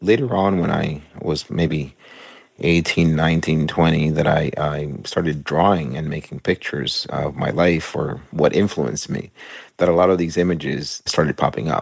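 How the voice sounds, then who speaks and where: At a moderate pace, a man talks in a very deep, low pitch with vocal fry and ordinary pitch variation. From Cuba. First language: Spanish. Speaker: cartoonist and author. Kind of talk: interview.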